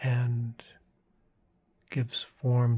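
Soft-spoken and calm, a man talks at a very slow pace. His medium-pitched voice is somewhat breathy. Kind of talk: guided meditation talk about inner imagery. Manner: soft-spoken, calm.

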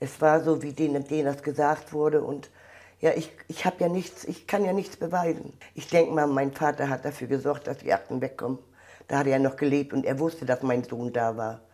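Over a quiet background, a woman with a very deep, low pitch and a dark, mellow tone speaks at a fairly quick pace with ordinary pitch variation. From Mecklenburg, northern Germany. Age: 60s. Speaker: contemporary witness, volunteer at a border museum. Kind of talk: interview answer. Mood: emotional, recalling painful past. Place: hall. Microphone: lapel.

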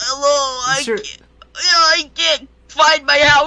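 This put-on character voice is high-pitched and whiny, with a whiny tone throughout. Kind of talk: comic overacting. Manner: confused, rambling, whiny.

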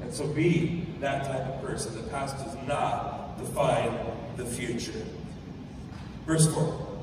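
A man at a very slow pace with long, frequent pauses, amid strong room echo and noticeable background noise. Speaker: pastor. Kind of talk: sermon. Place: hall.

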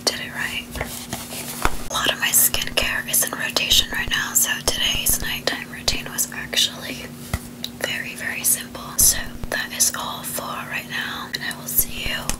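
The speaker is a woman, and she whispers. She keeps to a moderate pace. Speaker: ASMR beauty creator. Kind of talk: ASMR skincare routine talk to camera. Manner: soft, whispered. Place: home room.

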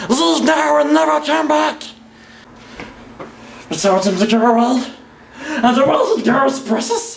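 A man puts on a character voice with an extremely high pitch, speaking at a fairly slow pace. He leaves long, frequent pauses over clear background noise. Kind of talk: dramatic monologue. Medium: stage. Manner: hissing, raspy, frantic.

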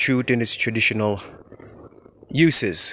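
A man at a very slow pace, dry sound with no echo, ordinary pitch variation. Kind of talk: casual informational vlog. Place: forest. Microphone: phone near.

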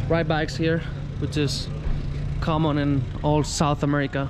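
A man at a moderate pace with long, frequent pauses, over noticeable background noise. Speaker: travel vlogger. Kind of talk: casual travel vlog narration. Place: street. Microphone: phone near.

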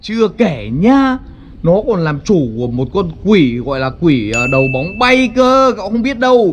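A man speaks with clear music in the background. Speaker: video creator. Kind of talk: animated storytelling vlog chat. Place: waterside. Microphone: phone near.

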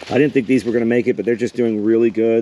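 With an American accent, the speaker's intonation is monotone and flat, with noticeable background noise behind it. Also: man. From Texas. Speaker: homesteader and gardening YouTuber. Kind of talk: casual vlog tutorial. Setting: outdoors in garden.

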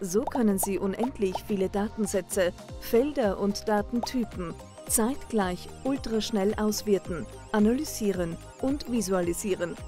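Over music in the background, a woman at medium pitch speaks at a fairly slow pace with ordinary pitch variation. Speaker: voice actor, professional narrator. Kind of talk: corporate explainer video narration.

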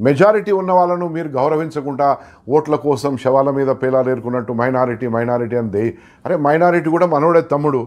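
A man speaks at a fairly high pitch. His pitch varies in an ordinary way against a quiet background. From Telangana, India. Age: 60s. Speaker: film producer; interviewee. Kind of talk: interview. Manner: animated. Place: home room. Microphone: lapel.

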